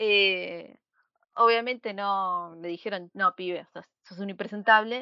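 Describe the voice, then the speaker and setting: At a very slow pace, a woman speaks with medium pitch and fairly even intonation, her loudness swinging widely. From Buenos Aires, Argentina. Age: 30s. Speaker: podcast co-host. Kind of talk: casual chat.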